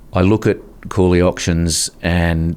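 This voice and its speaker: A man with an Australian accent speaks at a fairly slow pace in a very deep, low pitch and a monotone, flat intonation. Noticeable background noise runs underneath. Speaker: podcast host. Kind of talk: podcast interview host.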